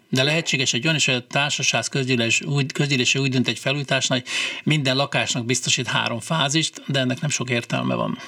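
A man's medium-pitched, very fast delivery with fairly even intonation and very even loudness over noticeable background noise. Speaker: condominium managers' association president. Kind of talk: radio call-in Q&A. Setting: studio.

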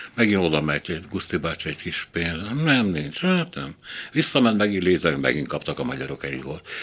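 This man's pitch is very deep and low. He talks at a moderate pace with lively intonation. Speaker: radio host. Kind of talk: panel discussion.

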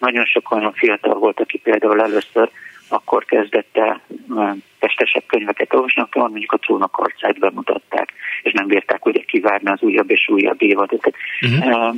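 Moderate pace and very even loudness over noticeable background noise. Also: man. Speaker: library director. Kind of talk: radio interview. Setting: phone call.

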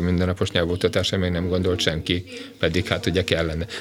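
A man speaks with a very deep, low pitch. His delivery is very fast, with monotone, flat intonation. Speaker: education expert, former teachers' union president. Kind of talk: radio interview.

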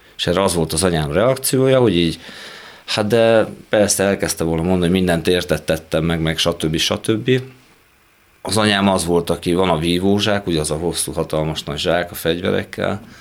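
A man with a very deep, low voice talks at a fairly quick pace, his pitch moving in an ordinary way. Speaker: fencing coach, recovered addict. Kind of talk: interview. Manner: halting.

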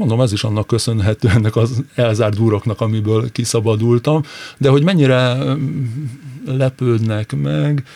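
A man with a dark, mellow tone and medium pitch talks at a fairly slow pace, with ordinary pitch variation in a dry, close sound with no echo. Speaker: former footballer and TV pundit. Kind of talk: casual interview chat. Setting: radio studio.

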